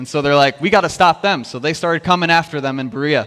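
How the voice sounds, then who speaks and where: The man's voice sits at a fairly high pitch with a bright, sharp tone. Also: quiet background. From US Midwest. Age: 30s. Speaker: worship minister and youth pastor. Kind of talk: sermon. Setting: church service. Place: church.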